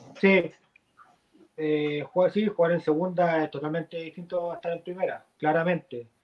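Intonation holds fairly even throughout. Delivery moves at a moderate pace. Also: man, high pitch for a man. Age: 30s. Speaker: football player. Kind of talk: interview.

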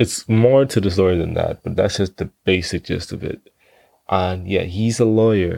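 A man with a Bahamian accent, a dark, mellow tone, fairly even intonation and fairly low pitch, on a very clean recording with a silent background. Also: moderate pace, dry, close sound with no echo. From Bahamas. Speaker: podcaster. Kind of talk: casual monologue. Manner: halting, stutters often.

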